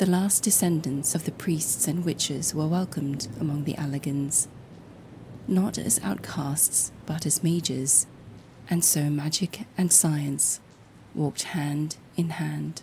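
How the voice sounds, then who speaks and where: The voice has a dark, mellow tone and is somewhat breathy, moving at a very slow pace with ordinary pitch variation. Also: woman. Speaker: storyteller. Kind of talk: sleep story.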